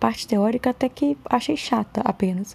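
The voice is somewhat breathy, with a dark, mellow tone. It moves at a fairly slow pace. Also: woman. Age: 30s. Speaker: podcaster. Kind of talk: casual monologue.

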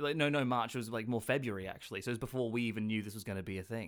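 A man with an Australian accent and a medium pitch at a very fast pace. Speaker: actor and comedian. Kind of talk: casual chat. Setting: remote call from home.

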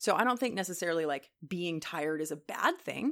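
A woman talking at a very fast pace. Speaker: podcast host. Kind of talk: solo podcast monologue. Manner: casual, chatty.

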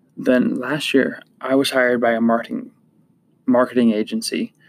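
A man at a fairly slow pace. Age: 20s. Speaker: podcast host, marketing business owner. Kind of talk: personal story monologue.

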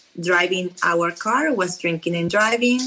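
This woman speaks with a Peruvian accent and a fairly low pitch. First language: Spanish. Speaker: travel influencer and wheelchair user. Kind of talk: interview. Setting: at home.

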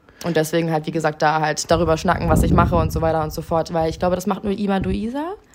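A woman at a very fast pace with ordinary pitch variation, music in the background. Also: fairly low pitch for a woman. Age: 20s. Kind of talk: interview.

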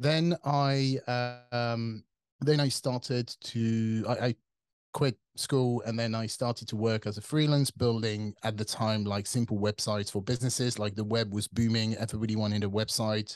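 In a French accent, a man speaks at a moderate pace and medium pitch with fairly even intonation, recorded with a dry, close sound with no echo against a quiet background. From France. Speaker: tech company CTO. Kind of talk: interview.

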